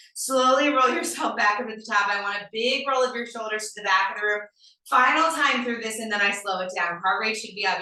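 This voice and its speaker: With an energetic tone, a woman talks at a fairly quick pace in a fairly high pitch, with audible room echo. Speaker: fitness instructor. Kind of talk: live fitness class instruction. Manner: energetic, encouraging.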